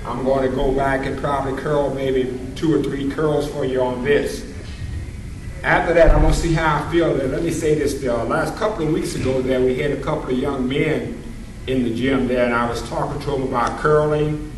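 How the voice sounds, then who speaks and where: In a room with audible echo and noticeable background noise, a man talks at a moderate pace with a fairly high pitch and fairly even intonation. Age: 60s. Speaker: senior weightlifter. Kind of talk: casual video demonstration. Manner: halting.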